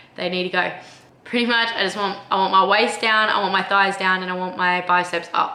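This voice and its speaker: Noticeable background noise and audible room echo are both present in the clip. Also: woman. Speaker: vlogger. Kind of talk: casual vlog talk to camera. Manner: casual, chatty.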